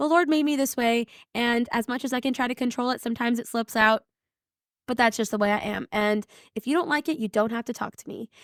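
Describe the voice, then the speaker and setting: A woman talks loud and very fast in a high pitch, with an energetic tone and ordinary pitch variation. The recording is very clean and silent in the background, with a dry, close sound and no echo. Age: 20s. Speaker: podcast host. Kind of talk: casual monologue.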